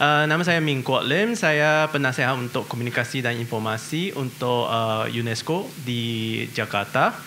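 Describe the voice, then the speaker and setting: A man talks at a medium pitch and a moderate pace, his pitch varying in an ordinary way, with audible room echo and noticeable background noise around him. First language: not Indonesian (speaking Indonesian). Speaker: international organization adviser. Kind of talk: seminar presentation. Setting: seminar hall with audience. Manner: hesitant, frequent 'eh' fillers.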